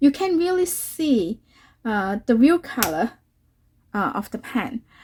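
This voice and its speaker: Very slowly, a woman with a Cantonese accent speaks in a high voice with very wide pitch swings. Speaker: watercolor artist and YouTuber. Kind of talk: tutorial. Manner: halting, many fillers.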